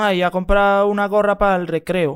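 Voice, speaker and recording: A man with a high-pitched voice talks at a fairly quick pace with fairly even intonation, recorded very cleanly against a silent background. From Venezuela, Caracas. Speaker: rapper. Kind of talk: casual chat.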